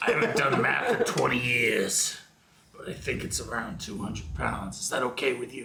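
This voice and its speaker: A man's put-on character voice, raspy and medium in pitch, at a moderate pace with audible echo. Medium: actual play. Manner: fast-talking, wheedling salesman.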